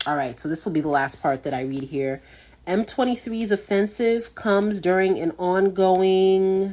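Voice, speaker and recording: A woman with a dark, mellow tone speaks at a medium pitch with lively intonation. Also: moderate pace. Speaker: talk show host. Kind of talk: casual talk show monologue. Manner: halting, stumbling over words.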